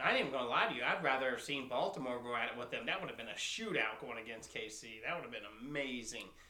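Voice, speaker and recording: Amid noticeable background noise, a man rattles along at a very fast pace with hardly any pauses. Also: medium pitch for a man, ordinary pitch variation. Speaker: podcast co-host. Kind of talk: casual chat over beers. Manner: joking, laid-back.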